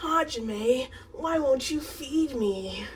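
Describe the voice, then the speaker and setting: A woman puts on a character voice, pitched high with lively intonation. Clear background noise runs behind her. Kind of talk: playful fan role-play. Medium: short film.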